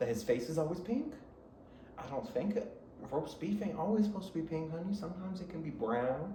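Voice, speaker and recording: An animated speaker with an American accent talks at a moderate pace with very wide pitch swings. Audible room echo and noticeable background noise fill the recording. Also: man. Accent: country twang, comes and goes. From Michigan, south of Detroit. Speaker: podcast host. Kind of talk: casual chat. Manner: rambling, animated.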